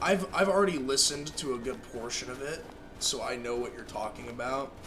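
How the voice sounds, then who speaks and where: The speaker talks at a fairly quick pace with lively intonation and big swings in loudness. Music plays in the background, and there is audible room echo. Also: man, fairly high pitch for a man. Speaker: gaming streamer. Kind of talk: casual chat.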